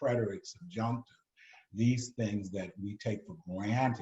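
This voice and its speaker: Speaking at a moderate pace, a man with a New York accent uses ordinary pitch variation. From New York City. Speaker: retired ambassador. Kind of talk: moderated discussion.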